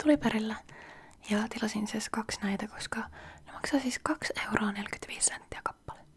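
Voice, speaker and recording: Soft-spoken and relaxed in tone, a woman talks at a moderate pace and a fairly high pitch amid noticeable background noise. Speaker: ASMR creator. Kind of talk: soft-spoken ASMR chat to camera. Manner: soft-spoken, relaxed, chatty.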